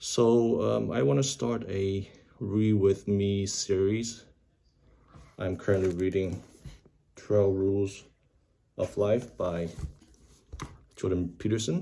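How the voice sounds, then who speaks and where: A man speaks very slowly in a dark, mellow tone at a fairly low pitch, with ordinary pitch variation and long, frequent pauses, on a very clean recording with a silent background. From Vietnam, moved to US in 1998. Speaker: YouTuber practising English reading. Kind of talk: casual vlog intro and reading aloud. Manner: hesitant, with fillers.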